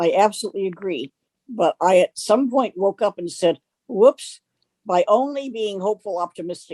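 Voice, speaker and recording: Her tone is dark and mellow as this woman speaks with a dry, close sound and no echo. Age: 80s+. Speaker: retired communication professor. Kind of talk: interview about her life. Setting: video interview, lying with neck on pillow. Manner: halting.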